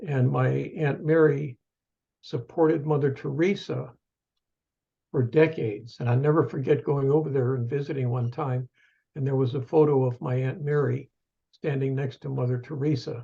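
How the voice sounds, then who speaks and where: A man's dark, mellow, somewhat breathy voice at a moderate pace, fairly even in intonation, with long, frequent pauses. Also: fairly high pitch for a man. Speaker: professor emeritus and author. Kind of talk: interview, personal storytelling. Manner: halting, with fillers.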